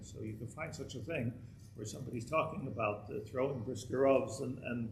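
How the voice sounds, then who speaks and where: A man talks at a moderate pace, his pitch varying in an ordinary way, amid audible room echo. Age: 60s. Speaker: rabbi teaching a Torah class. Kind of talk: lecture. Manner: halting, many repeated words.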